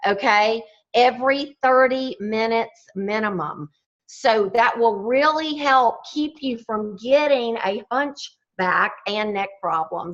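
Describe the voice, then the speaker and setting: Speaking very slowly in a Southern US accent, a woman uses a fairly high pitch with ordinary pitch variation. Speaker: fitness and wellness speaker. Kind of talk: motivational talk.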